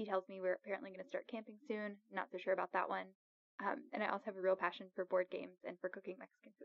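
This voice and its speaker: A woman talks with an American accent at a very fast pace. Her intonation stays fairly even while her loudness swings widely. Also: medium pitch for a woman. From Alabama, US South. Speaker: chief resident physician. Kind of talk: casual interview.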